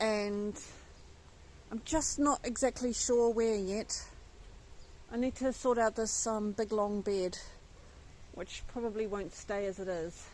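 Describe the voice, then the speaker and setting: The speech moves at a very slow pace with long, frequent pauses. Pitch variation is ordinary. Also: woman, fairly high pitch for a woman. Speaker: allotment gardener and vlogger. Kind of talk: casual vlog talk. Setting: outdoors in allotment garden.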